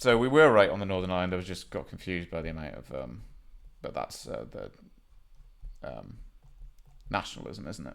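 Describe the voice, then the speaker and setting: With a very deep, low pitch and vocal fry, a man moves at a fairly quick pace through very wide pitch swings, big swings in loudness, and long, frequent pauses. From Wales. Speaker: geography game streamer. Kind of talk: gameplay commentary. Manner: casual, halting with many fillers.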